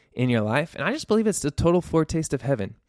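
The man's voice has a dry, close sound with no echo. It is a very clean recording with a silent background. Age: 30s. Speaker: podcast host and youth pastor. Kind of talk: solo faith podcast monologue. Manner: partly unscripted, with fillers and pauses.

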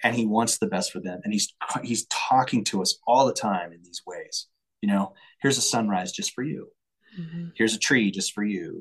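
This man has an ordinary speaking voice, medium in pitch, with an American accent. He talks at a moderate pace, and his loudness swings a lot. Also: dry, close sound with no echo. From Colorado, US. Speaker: singer-songwriter and entrepreneur. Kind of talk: casual interview.

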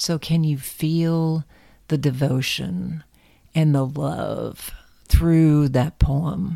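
A woman's very deep, low voice, warm and dark and mellow in tone, with ordinary pitch variation and a very slow pace. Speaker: podcast host. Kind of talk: spiritual reflection, then a poem read aloud as a guided meditation. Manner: soothing, slow, intimate and tender when performing the poem; warm, reflective, sincere.

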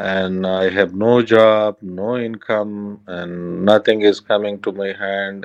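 A man talks at a fairly low pitch with fairly even intonation. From Afghanistan. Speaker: Afghan man seeking refuge. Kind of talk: interview. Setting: encrypted call from undisclosed location. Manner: halting.

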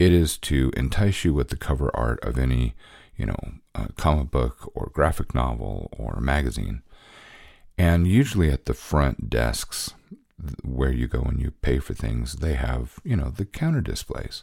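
The speaker uses vocal fry with ordinary pitch variation at a moderate pace in a very clean recording with a silent background. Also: man, very deep, low pitch for a man. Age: 50s. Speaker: podcast host, cartoonist and fiction writer. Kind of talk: casual solo monologue. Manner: halting, many fillers.

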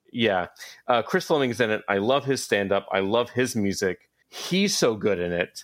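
Speaking with an American accent and a normal speaking voice, a man talks at a moderate pace and medium pitch with lively intonation, on a very clean recording with a silent background. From US South, Atlanta. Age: 30s. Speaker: comic book and entertainment writer. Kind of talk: casual chat.

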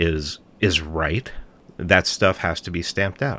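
With an American accent, this voice has a bright, sharp tone on a very clean recording against a silent background. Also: man. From New York City, the Bronx. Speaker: podcast host and documentary producer. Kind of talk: political interview.

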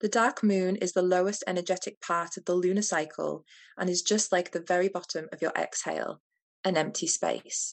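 At a moderate pace, a woman with an unremarkable speaking voice talks at medium pitch with fairly even intonation. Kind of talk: guided meditation. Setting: video call.

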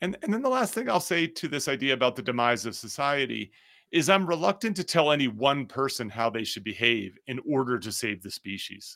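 In an American accent, a medium-pitched man speaks at a fairly quick pace with a bright, sharp tone. His pitch swings very widely. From US Northeast, New Jersey. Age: 50s. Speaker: author and business school professor. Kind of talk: interview. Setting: remote call from a closet.

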